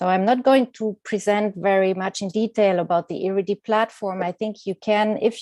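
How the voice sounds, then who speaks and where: A woman's dark, mellow voice sounds dry and close with no echo against a quiet background. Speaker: executive director of a publishing platform. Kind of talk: conference presentation. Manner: hesitant, many fillers.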